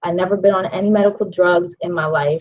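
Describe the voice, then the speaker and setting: A woman with an American accent uses an ordinary speaking voice at a medium pitch. She talks at a fairly quick pace with fairly even intonation. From Pittsburgh, Pennsylvania, US. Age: 40s. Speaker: vegan chef and life coach. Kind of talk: personal testimony and book promotion. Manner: casual, many filler ums.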